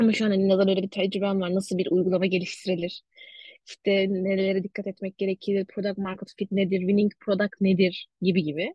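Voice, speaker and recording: A woman talks at a fairly quick pace in a medium pitch, her voice somewhat breathy. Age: 20s. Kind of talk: casual interview chat.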